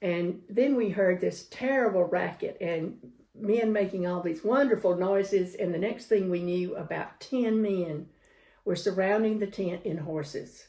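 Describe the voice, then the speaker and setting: Here a woman talks fairly slowly at a medium pitch with ordinary pitch variation. Her tone is dark and mellow. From US South, Georgia. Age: 70s. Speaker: grandmother interviewee, world traveler. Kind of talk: storytelling interview.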